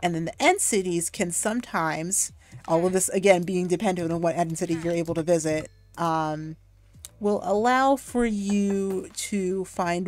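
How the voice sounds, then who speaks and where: Over a very clean recording with a silent background, a woman talks in a fairly low pitch with fairly even intonation. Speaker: video game streamer. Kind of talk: live game commentary. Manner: fast; filler-heavy, hesitant.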